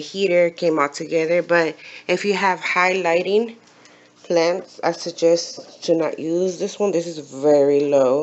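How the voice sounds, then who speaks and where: This woman mumbles at a fairly slow pace. Her pitch is fairly low and varies in an ordinary way. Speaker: aquarium hobbyist youtuber. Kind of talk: casual tutorial. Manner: halting, hesitant; mumbling.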